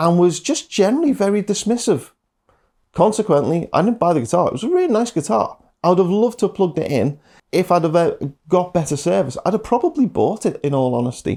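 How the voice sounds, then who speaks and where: With a Liverpool accent, this dark, mellow voice swings very widely in pitch on a very clean recording with a silent background. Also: man. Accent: Scouse. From Liverpool, England. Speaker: guitar teacher. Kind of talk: casual monologue. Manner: hesitant with fillers.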